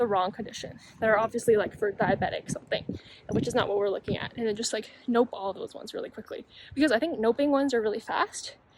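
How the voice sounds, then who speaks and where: Quiet and mumbling, a woman talks at a very fast pace in a fairly high pitch with fairly even intonation. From Canada. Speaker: medical student and YouTuber. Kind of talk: casual vlog talk. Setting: outdoors on campus. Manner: mumbling, quiet.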